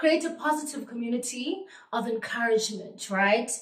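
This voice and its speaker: Speaking fairly slowly with lively intonation, a woman with a fairly high pitch is heard over audible room echo. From South Africa, Eastern Cape. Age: 30s. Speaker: vlogger. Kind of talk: casual vlog introduction.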